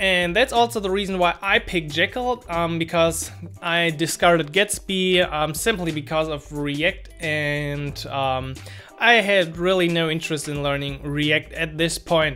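Over faint music in the background, a man with a high pitch speaks at a fairly slow pace with ordinary pitch variation. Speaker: developer tutorial creator. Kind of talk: casual tech vlog explanation.

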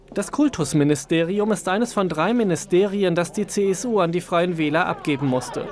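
Over crowd noise in the background, a man with a high pitch speaks at a moderate pace, with ordinary pitch variation and very even loudness. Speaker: TV news reporter. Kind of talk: news report narration.

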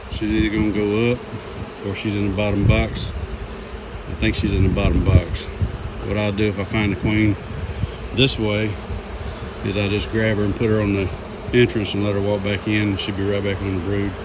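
Noticeable background noise runs throughout as the talking proceeds at a moderate pace, broken by long, frequent pauses. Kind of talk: casual vlog chat. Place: garden. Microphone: phone near.

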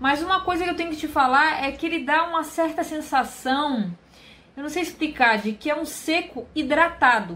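A woman projects a raised voice at a high pitch with ordinary pitch variation. Her tone comes across bright and sharp. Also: moderate pace. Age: 30s. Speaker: beauty youtuber. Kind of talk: product review vlog. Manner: chatty.

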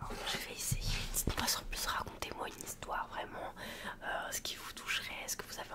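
The speaker is a woman, whispering. Her delivery is fairly quick. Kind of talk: soft ASMR role-play chat. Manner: soft, hushed ASMR close-mic voice. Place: home room. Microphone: studio mic.

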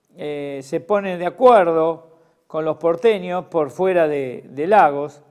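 Here a man talks at a very slow pace with ordinary pitch variation. The background is quiet. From Argentina. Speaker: historian and lawyer presenting history talks; lawyer presenting history talks. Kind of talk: history lecture. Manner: hesitant, many fillers (eh, este). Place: studio. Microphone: lapel.

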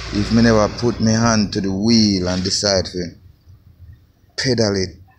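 Someone speaks with a Jamaican accent over noticeable background noise. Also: man. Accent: Jamaican patois. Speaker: construction worker vlogger. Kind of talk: casual vlog on building site. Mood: grateful, proud. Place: open country. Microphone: phone near.

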